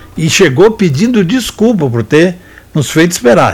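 Over noticeable background noise, a man speaks with very wide pitch swings. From Rio Grande do Sul, Brazil. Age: 70s. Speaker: sports radio host and veteran football journalist. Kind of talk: football memories storytelling. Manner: halting, many repetitions and fillers.

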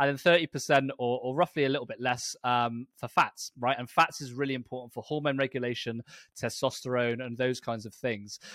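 A man with a British accent talks at a medium pitch and a fairly quick pace, with fairly even intonation and hardly any pauses. His loudness swings widely, and the sound is dry and close with no echo on a very clean recording with a silent background. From Britain. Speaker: personal trainer and lifestyle coach. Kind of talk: interview.

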